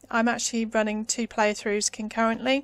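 On a very clean recording with a silent background and a dry, close sound with no echo, a woman speaks at a fairly high pitch in a British accent. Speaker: gaming YouTuber. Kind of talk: tutorial. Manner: soft-spoken.

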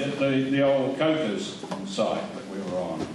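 Through strong room echo and noticeable background noise, a man with a fairly high pitch speaks at a fairly slow pace. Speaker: performer reading comic verse. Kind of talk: introduction at a memorial gathering. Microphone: camera far.

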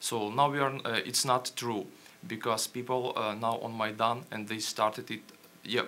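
A man in a Ukrainian accent speaks at a moderate pace and medium pitch, his intonation fairly even. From Ukraine. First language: Ukrainian or Russian. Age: young. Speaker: journalist. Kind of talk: panel presentation. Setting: stage with audience. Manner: halting. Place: hall.

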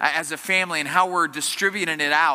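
A man speaks in a raised, projected voice against a quiet background. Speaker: pastor. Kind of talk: sermon. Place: church. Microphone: headset.

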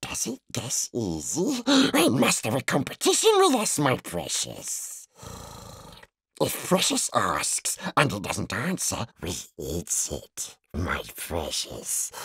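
Someone hisses in a put-on character voice, speaking at a very slow pace. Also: man. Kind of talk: audiobook reading. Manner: whispered, hissing.

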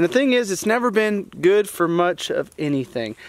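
Recorded with a dry sound and no echo, a man talks at a fairly quick pace. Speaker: hunting channel host. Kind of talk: casual vlog chat. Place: forest. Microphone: phone near.

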